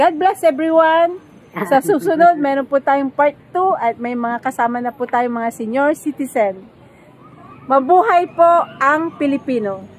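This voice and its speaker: Over noticeable background noise, a woman speaks in a high voice. Her intonation is lively. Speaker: interviewer. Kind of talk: casual interview questions.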